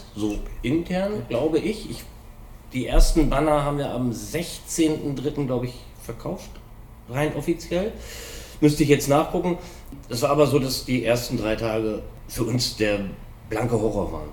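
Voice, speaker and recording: Over audible room echo, a man talks fairly slowly at medium pitch with lively intonation. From Hanover, northern Germany. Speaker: scooter mechanic. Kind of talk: casual chat. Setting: workshop.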